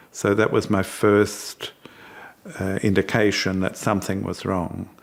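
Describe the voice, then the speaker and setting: A man talks in a monotone with flat intonation. His pitch is fairly low and his pace fairly slow. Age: 60s. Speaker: brain tumour patient, medical researcher. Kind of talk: testimony.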